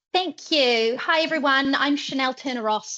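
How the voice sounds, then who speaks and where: A bright, sharp tone in a New Zealand accent, at a fairly quick pace with ordinary pitch variation, against a quiet background. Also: woman. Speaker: head of marketing. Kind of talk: webinar presentation.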